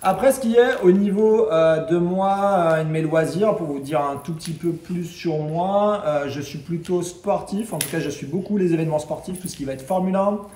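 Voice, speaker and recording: Over noticeable background noise and audible room echo, a man speaks at a high pitch and a moderate pace with ordinary pitch variation. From western France. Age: 30s. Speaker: travel vlogger. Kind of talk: casual self-introduction vlog. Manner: hesitant, many fillers.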